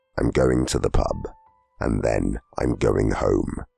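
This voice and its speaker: A man uses a raspy, put-on character voice at a fairly slow pace, with a dry, close sound with no echo and faint music in the background. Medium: read story. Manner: gruff, blunt.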